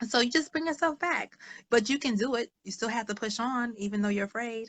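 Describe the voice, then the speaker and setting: This woman sounds animated, with a fairly high pitch. Her pace is fairly quick and her pitch varies in an ordinary way. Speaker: social worker and author. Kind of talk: interview. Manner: fast.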